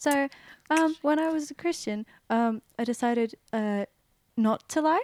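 Speaking in an Australian accent, a woman uses a high pitch and lively intonation. Her pace is fairly slow, with long, frequent pauses. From Western Sydney, Australia. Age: 20s. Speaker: church member sharing testimony. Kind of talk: testimony.

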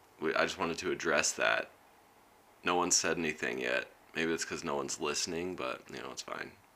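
Fairly quick male speech amid noticeable background noise. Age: 30s. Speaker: podcast host. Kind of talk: casual chat.

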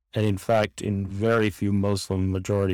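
On a very clean recording with a silent background, a man speaks at a moderate pace with a fairly low pitch and monotone, flat intonation. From New York City (Queens). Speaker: religious studies professor. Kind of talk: interview conversation.

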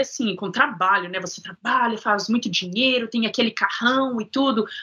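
With lively intonation, a woman speaks over noticeable background noise. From Minas Gerais, Brazil. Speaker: sound therapist guest. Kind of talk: casual interview, life story.

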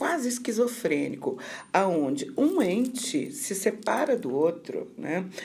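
Speaking at a very slow pace with vocal fry, a woman swings her pitch very widely while audible room echo surrounds her. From Rio de Janeiro, Brazil. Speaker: occupational therapy professor. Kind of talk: interview on mental health.

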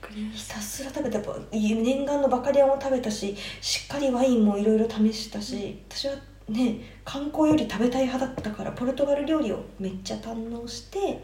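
A woman with a high pitch talks at a fairly quick pace with ordinary pitch variation, amid noticeable background noise and audible room echo. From Japan, Tokyo. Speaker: traveler. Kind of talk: casual chat.

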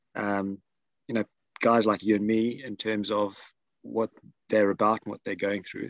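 The voice moves at a moderate pace with long, frequent pauses and monotone, flat intonation, in a dry, close sound with no echo. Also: man, fairly low pitch for a man. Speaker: podcast host. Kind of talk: casual interview chat. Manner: hesitant, many fillers.

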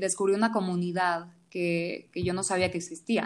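At a moderate pace, a woman with a medium pitch speaks in a very clean recording against a silent background. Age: 20s. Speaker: home cook and food content creator. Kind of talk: casual interview.

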